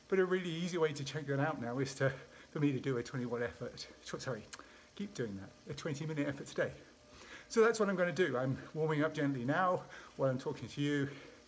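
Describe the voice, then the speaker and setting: A man talks at a very fast pace. His pitch variation is ordinary. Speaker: sports scientist vlogger. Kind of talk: casual vlog chat. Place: home room. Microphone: phone near.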